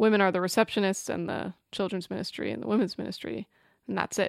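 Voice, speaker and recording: The speech comes at a very fast pace, with a dry, close sound and no echo. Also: woman. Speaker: podcast co-host. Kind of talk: casual chat.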